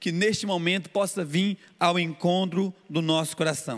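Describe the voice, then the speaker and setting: A man is speaking. His pitch is high. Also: very clean recording, silent background. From Brazil, Goiânia (Goiás). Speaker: pastor. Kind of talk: sermon. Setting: church service streamed on YouTube.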